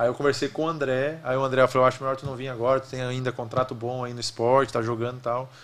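A man talking at a very fast pace. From Rio Grande do Sul, Brazil. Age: 30s. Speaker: former goalkeeper, football executive; podcast guest. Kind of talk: interview conversation. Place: studio. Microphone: studio mic.

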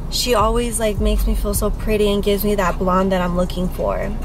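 Over music in the background, a woman talks at a fairly quick pace in a flat monotone, with a dry sound and no echo. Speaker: vlogger. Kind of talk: casual vlog chat. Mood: relaxed, chatty, laughing. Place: car. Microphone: phone near.

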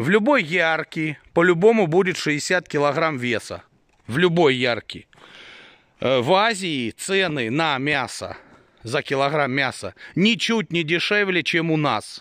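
With a bright, sharp tone and fairly high pitch, a man speaks very slowly with lively intonation and long, frequent pauses, in a dry recording with no echo and a quiet background. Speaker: sheep breeder vlogger. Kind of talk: casual vlog monologue. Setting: outdoors at farm. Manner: blunt, irritated at times. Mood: mildly irritated. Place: farm. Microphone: phone near.

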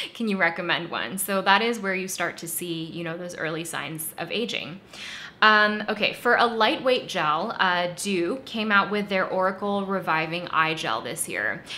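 A woman speaks at medium pitch and a fairly slow pace, with lively intonation and big swings in loudness. Room echo is audible. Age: 30s. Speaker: beauty YouTuber. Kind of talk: product review monologue. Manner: conversational.

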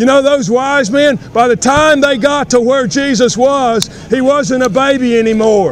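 Against crowd noise in the background, a man with an American accent speaks at a fairly slow pace in an extremely high pitch with ordinary pitch variation. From United States, North Carolina. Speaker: street preacher. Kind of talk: street sermon, preaching. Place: street. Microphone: phone near.

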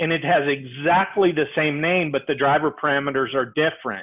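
Speaking at a moderate pace, a man lets his pitch vary in an ordinary way.

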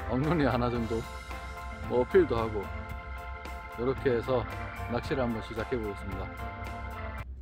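The delivery is fairly slow, with a dry sound and no echo. Clear music plays in the background. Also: man. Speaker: fishing channel host. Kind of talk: tutorial. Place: waterside. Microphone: phone near.

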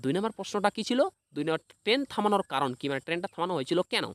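A high-pitched man, very fast with lively intonation and a fairly bright tone, in a dry, close sound with no echo.

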